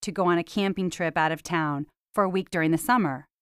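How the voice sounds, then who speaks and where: A plain, everyday voice moves at a fairly quick pace with ordinary pitch variation, in a dry, close sound with no echo. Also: woman. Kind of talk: elder life story, reflective personal memoir narration. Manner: warm, nostalgic, measured; proud, sincere, plainspoken.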